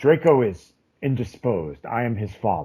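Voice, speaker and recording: A put-on character voice at a moderate pace. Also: man. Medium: actual play. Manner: throat-clearing, evasive.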